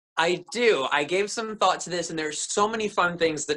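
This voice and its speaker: A man speaks at a fairly quick pace. The background is quiet. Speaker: actor, remote interview guest. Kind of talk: interview answer. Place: home room. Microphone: webcam.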